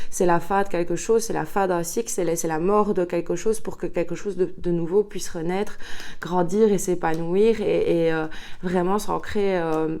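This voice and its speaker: A woman's fairly low voice at a moderate pace, fairly even in intonation, over noticeable background noise. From Belgium, Liège. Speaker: tarot card reader. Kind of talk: tarot reading guidance. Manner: hesitant, many filler sounds.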